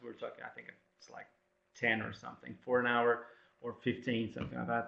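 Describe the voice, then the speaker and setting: This is a man's voice. He speaks with a non-native accent. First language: not English. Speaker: academic presenter. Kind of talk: webinar presentation. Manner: halting, many fillers.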